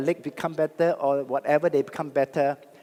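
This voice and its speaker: Here a man speaks at a fairly quick pace. His pitch is fairly high. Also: dry, close sound with no echo. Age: 60s. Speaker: network marketing speaker. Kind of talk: motivational talk. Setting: stage with audience. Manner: animated.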